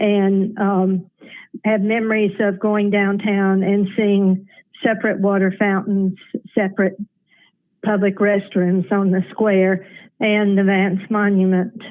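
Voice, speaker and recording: A woman's very slow, monotone, flat delivery with an Appalachian accent. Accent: Southern US (Appalachian). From US South, Asheville, North Carolina. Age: 70s. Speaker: caller. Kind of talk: public comment.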